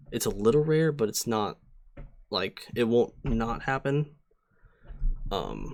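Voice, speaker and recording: A man's medium-pitched voice, very slow, with ordinary pitch variation and long, frequent pauses. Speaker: streamer teaching competitive Pokemon. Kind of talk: live-streamed tutorial. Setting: live stream with chat. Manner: casual, many fillers (um, uh).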